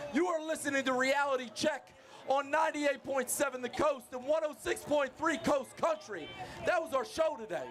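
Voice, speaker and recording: An energetic man with an extremely high pitch speaks at a moderate pace with ordinary pitch variation against noticeable background noise. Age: 40s. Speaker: radio sports show host. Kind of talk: live radio sports talk show. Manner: energetic, hype announcer style.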